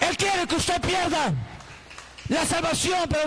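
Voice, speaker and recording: A man's animated, lively-intoned speech at a fairly slow pace, with noticeable background noise. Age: 60s. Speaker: pastor. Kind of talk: sermon.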